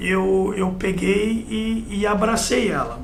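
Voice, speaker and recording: A man speaks at a high pitch. Audible room echo and noticeable background noise surround him. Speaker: firefighter and military veteran. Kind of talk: interview. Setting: TV interview. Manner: narrative, with frequent né tags.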